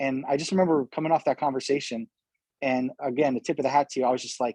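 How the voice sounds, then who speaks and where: Over a quiet background, a man with an American accent speaks in a fairly high, dark, mellow voice. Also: dry, close sound with no echo. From New York. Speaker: community organization founder. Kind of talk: interview. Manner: fast.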